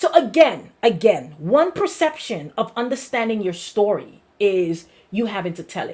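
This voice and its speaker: The speaker has an American accent and an animated tone. The pace is moderate. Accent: Brooklyn accent, comes out when excited. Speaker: pastor. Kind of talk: sermon. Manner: repetitive, emphatic.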